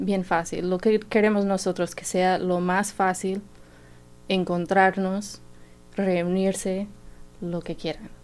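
At a very slow pace with long, frequent pauses, a woman speaks at medium pitch in a monotone, flat intonation. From Indiana, US. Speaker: health insurance enrollment worker. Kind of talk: radio interview.

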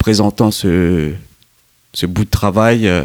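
A man speaks at a fairly low pitch with ordinary pitch variation, recorded with a dry, close sound and no echo. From Mauritius. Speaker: documentary filmmaker. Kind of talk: radio interview. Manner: halting.

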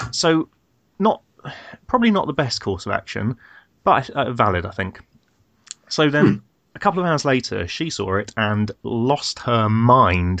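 At a moderate pace, this southern English accent carries very wide pitch swings and long, frequent pauses. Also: man, medium pitch for a man. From southern England. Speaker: podcast host. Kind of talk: casual chat.

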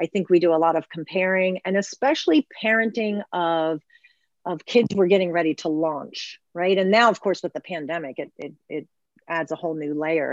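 A woman's plain, everyday voice, fairly low in pitch, at a moderate pace with ordinary pitch variation, a dry, close sound with no echo and a quiet background. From Baltimore, Maryland, US. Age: 50s. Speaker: mental health therapist. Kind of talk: casual interview.

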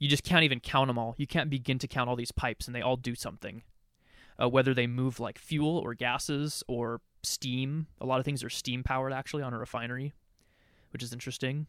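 Speaking at a very fast pace in a medium pitch, a man with an American accent keeps a monotone, flat intonation, recorded very cleanly with a silent background and a dry, close sound free of echo. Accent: West Coast with slight Canadian tinge. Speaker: podcast co-host. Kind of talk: casual chat.

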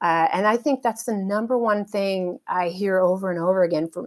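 Woman with an American accent, medium pitch, fairly even intonation and a fairly quick pace. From rural California. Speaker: helicopter pilot. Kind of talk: interview.

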